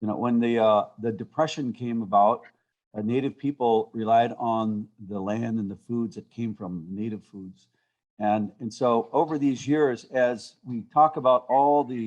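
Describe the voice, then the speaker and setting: With a normal speaking voice, a man talks fairly slowly at a medium pitch, showing ordinary pitch variation and big swings in loudness against a quiet background. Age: 60s. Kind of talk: panel discussion.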